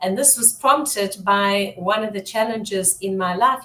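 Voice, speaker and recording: With noticeable background noise behind her, a woman talks at a medium pitch, her pitch varying in an ordinary way. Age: 60s. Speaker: business strategist and branding coach. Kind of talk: interview.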